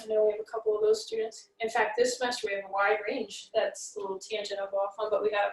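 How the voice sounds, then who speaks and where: An unremarkable speaking voice from a woman, fairly high in pitch and at a fairly quick pace. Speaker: math professor. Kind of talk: recorded lecture announcements. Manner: casual with fillers.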